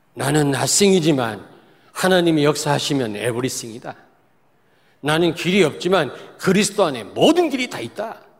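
This man's fairly high voice moves at a middling pace while his pitch leaps and dips very widely. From South Korea, Daejeon. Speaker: pastor. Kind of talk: sermon.

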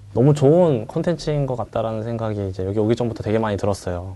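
A man speaks at medium pitch with ordinary pitch variation. His tone is dark and mellow. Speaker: army veteran sharing his military service experience. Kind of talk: talk show conversation.

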